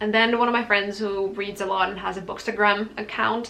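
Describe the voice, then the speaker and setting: A woman speaks at a medium pitch in a non-native accent. Audible room echo and noticeable background noise surround her voice. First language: not English. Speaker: book youtuber. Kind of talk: casual book talk vlog. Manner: casual, filler-heavy.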